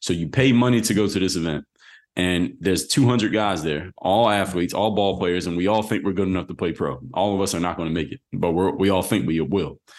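A man with a Philadelphia accent speaks in a very deep, low pitch. He talks at a fairly quick pace with ordinary pitch variation over a quiet background. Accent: Philadelphia American English. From US Northeast, Philadelphia. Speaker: former pro basketball player turned entrepreneur. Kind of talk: interview.

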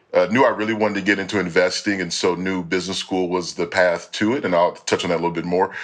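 A man speaks at a very fast pace with an American accent. His pitch is fairly low. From Dallas, Texas. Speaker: MBA student, former military cadet. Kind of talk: podcast interview.

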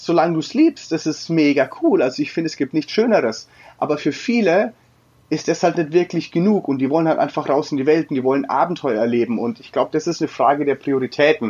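Very fast and with lively intonation, a man delivers his words. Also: fairly high pitch for a man. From Franconia, Germany (Würzburg). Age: 30s. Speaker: travel blogger. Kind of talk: interview. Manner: hesitant, many fillers.

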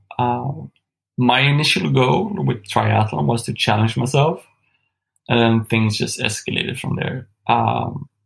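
The voice has vocal fry and a slightly husky edge. It moves at a fairly slow pace with ordinary pitch variation. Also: man, medium pitch for a man.

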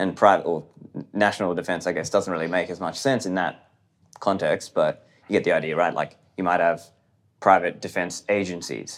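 A man with an Australian accent speaks in a very deep, low voice with fairly even intonation. The recording is very clean, with a silent background. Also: moderate pace. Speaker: podcaster and libertarian commentator. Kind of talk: interview conversation.

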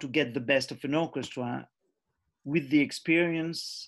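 A man's flat, monotone delivery at a fairly slow pace. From Switzerland (Geneva). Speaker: orchestral conductor. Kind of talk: interview. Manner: halting.

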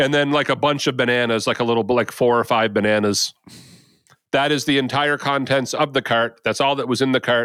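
An unremarkable speaking voice from a man, medium in pitch, fairly quick, with fairly even intonation and very even loudness. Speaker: podcast co-host. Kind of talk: casual banter among friends.

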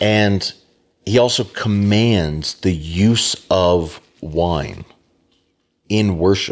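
A man talks at a very slow pace, leaving long, frequent pauses. His loudness stays very even throughout. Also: fairly low pitch for a man, ordinary pitch variation. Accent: Southern US. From US South, South Georgia (Americus). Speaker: pastor. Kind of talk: casual chat.

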